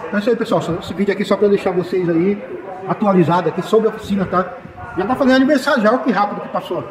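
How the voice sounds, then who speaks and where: A man's high-pitched voice at a very fast pace, with noticeable background noise. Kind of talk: casual vlog chat. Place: garage. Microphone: phone near.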